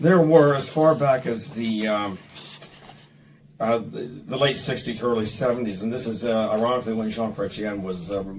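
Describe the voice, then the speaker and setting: Amid noticeable background noise and audible room echo, a man talks at a moderate pace and medium pitch with ordinary pitch variation. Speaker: legal professional. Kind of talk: interview discussion. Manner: halting, many fillers.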